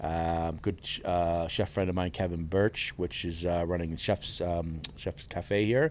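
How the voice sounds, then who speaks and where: A man's very deep, low voice with an American accent, fairly even intonation and a fairly slow pace with hardly any pauses. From New York, Hudson Valley. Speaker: chef and culinary instructor. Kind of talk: casual chat.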